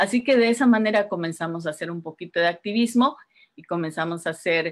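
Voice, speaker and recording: Her pace is moderate and her pitch medium. The woman's intonation is lively, over a quiet background. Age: 50s. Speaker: writer and community organizer; guest. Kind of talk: casual interview. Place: home room. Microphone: video call.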